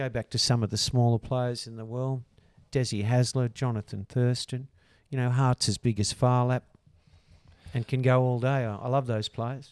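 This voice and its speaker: A man with an Australian accent speaks at a moderate pace and a medium pitch in a flat monotone, recorded very cleanly against a silent background with a dry, close sound and no echo. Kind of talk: casual chat.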